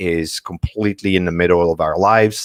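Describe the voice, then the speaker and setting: Very deep, low-pitched man with a French accent, moderate pace, ordinary pitch variation, dry close sound with no echo, very clean recording with a silent background. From France, Paris. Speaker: marketing strategist. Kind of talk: presentation.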